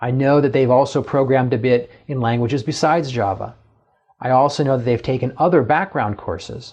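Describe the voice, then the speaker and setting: A somewhat breathy male voice, medium in pitch, with ordinary pitch variation and a fairly quick pace. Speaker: professor. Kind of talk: lecture.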